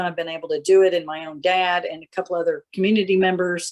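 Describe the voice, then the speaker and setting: With an ordinary speaking voice, a woman talks at a moderate pace and a fairly low pitch. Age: 60s. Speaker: farmer. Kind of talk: casual chat.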